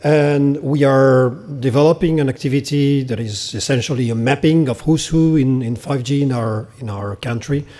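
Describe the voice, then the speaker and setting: A dark, mellow tone with ordinary pitch variation, delivered at a moderate pace. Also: man. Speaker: government program director. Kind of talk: conference speech. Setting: conference stage with audience. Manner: halting.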